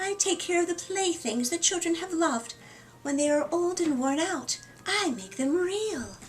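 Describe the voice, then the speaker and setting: A woman puts on a character voice with extremely high pitch. She speaks at a moderate pace over clear background noise. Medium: read story. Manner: soft, warm.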